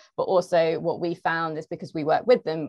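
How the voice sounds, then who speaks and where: A woman talks at a moderate pace in a fairly low pitch with ordinary pitch variation. The background is quiet and the sound is dry and close, with no echo. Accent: London. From London. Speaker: marketing manager. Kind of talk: panel discussion. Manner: hesitant, many fillers.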